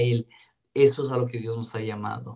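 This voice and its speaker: A man is talking. He keeps a monotone, flat intonation. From Ciudad Juárez, Mexico (border region). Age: 30s. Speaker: youth ministry director. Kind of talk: interview testimony.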